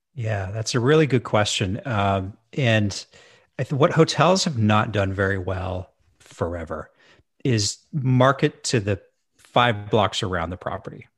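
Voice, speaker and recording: On a very clean recording with a silent background, a man with a fairly low, somewhat breathy voice speaks at a fairly slow pace with lively intonation. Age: 40s. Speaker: hotel management consultant. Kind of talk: casual chat.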